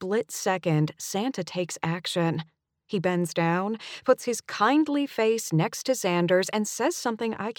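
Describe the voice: A quiet background under plain reading aloud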